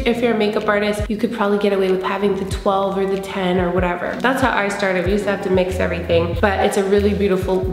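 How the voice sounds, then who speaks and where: Talking at a very fast pace with hardly any pauses, a woman keeps a monotone, flat intonation over light background noise and audible room echo. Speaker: beauty vlogger. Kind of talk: casual vlog chat. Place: home room.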